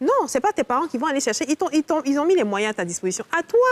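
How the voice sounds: Talking at a very fast pace, a woman speaks with high pitch and big pitch swings in a dry, close sound with no echo.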